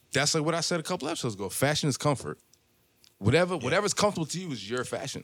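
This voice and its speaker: This man talks at a very fast pace with lively intonation, a fairly high pitch and some vocal fry. The recording is very clean, with a silent background. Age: 30s. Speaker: podcast host and barber. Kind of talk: casual chat. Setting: barbershop.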